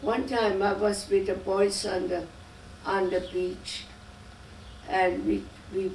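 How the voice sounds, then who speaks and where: The room echo is audible as a woman with a medium-pitched voice speaks very slowly, with fairly even intonation. She leaves long, frequent pauses. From Germany. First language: German. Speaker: immigrant interviewee, grandmother. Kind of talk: oral history interview. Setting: home interview. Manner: halting.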